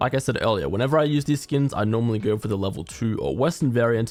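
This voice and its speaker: A man at a very fast pace with lively intonation. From Australia. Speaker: gaming YouTuber. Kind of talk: product review narration.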